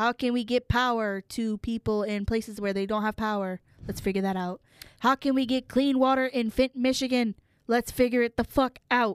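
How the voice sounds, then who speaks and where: The tone is animated and the pace moderate. The sound is dry and close, with no echo. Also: woman, fairly high pitch for a woman. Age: 20s. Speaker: podcast guest, host's sister. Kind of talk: casual chat.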